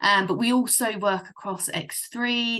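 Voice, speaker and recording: A woman with a British accent speaks in a bright, sharp tone with fairly even intonation. The background is quiet. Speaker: software partner manager presenting a product. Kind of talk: webinar product presentation. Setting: video call webinar. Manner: hesitant, many fillers.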